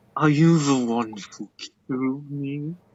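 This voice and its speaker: The speaker puts on a growling character voice and talks at a fairly slow pace. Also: man, fairly high pitch for a man. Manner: snarling.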